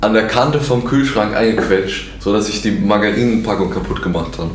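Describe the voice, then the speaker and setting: There is audible room echo and noticeable background noise behind a man speaking. His pitch is fairly low, and his intonation is lively. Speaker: podcast host. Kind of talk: casual chat. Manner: stuttering.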